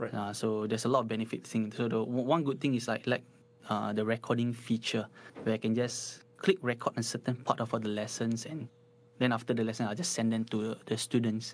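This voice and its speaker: Speaking with a Singaporean accent, a man of medium pitch talks at a fairly quick pace with fairly even intonation. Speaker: guitar teacher. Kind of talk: casual chat; tutorial. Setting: live stream.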